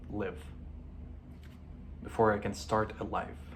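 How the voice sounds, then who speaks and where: A man with a fairly low pitch speaks at a moderate pace, with audible room echo around his voice. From Lebanon. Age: 20s. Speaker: vlogger. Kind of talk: personal video diary. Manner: halting.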